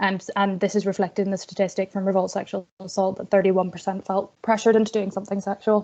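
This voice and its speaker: Over a quiet background, a woman speaks very fast at a medium pitch in a flat monotone. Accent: Northern Irish. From Northern Ireland. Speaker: student activist. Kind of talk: webinar presentation.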